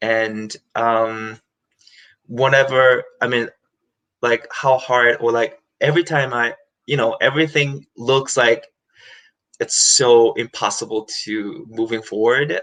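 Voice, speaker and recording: Speaking very slowly with long, frequent pauses, a man with a Korean accent uses a medium pitch, a bright, sharp tone and fairly even intonation. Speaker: musical theatre performer. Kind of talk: interview. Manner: halting.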